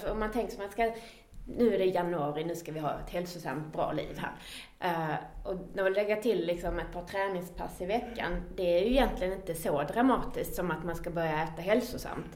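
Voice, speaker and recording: A woman talks at a moderate pace and medium pitch, with ordinary pitch variation. Noticeable background noise runs underneath. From Skåne, Sweden. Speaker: podcast host. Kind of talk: casual podcast conversation.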